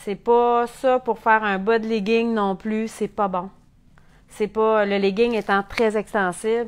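The intonation is monotone and flat. Delivery is at a fairly slow pace. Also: woman. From Quebec. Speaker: sewing instructor. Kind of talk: tutorial. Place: workshop. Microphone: lapel.

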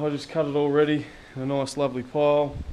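Light noise lingers behind a man talking fairly quickly. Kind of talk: casual vlog chat. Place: workshop. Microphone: phone near.

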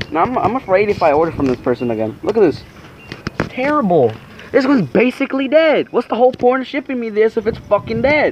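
A man talks at a very fast pace in a high pitch, with very wide pitch swings and light background noise. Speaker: carnivorous plant vlogger. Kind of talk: angry rant over a ruined plant unboxing, swearing and venting. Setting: home video, camera vlog. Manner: outraged, agitated, rapid and exasperated. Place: garden. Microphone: phone near.

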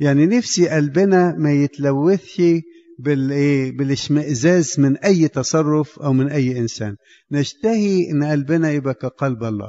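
Fairly high male speech, fairly slow in pace and ordinary in pitch variation. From Egypt. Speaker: priest. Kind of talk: sermon.

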